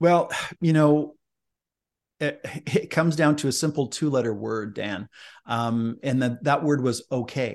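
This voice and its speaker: The speech is fairly slow, with long, frequent pauses and ordinary pitch variation. The background is quiet. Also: man, medium pitch for a man. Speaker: leadership speaker and author. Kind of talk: interview. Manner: energetic, enthusiastic.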